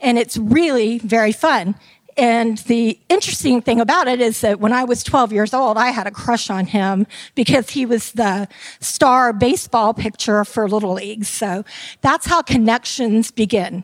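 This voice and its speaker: A woman speaks with an American accent at a moderate pace, in an ordinary speaking voice. Her pitch is fairly high with ordinary pitch variation, and the sound is dry and close with no echo. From Tampa, Florida. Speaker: retired theme park entertainment director. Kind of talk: conference talk. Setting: stage with audience.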